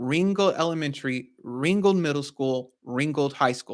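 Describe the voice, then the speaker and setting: This man has a normal speaking voice, fairly high for a man, with ordinary pitch variation. He talks at a fairly slow pace on a very clean recording with a silent background. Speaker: real estate investor and educator. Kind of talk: tutorial.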